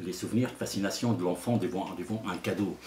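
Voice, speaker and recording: Noticeable background noise surrounds a man talking at a fairly low pitch. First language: Arabic (speaking French). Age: 60s. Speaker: storyteller. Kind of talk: interview. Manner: halting.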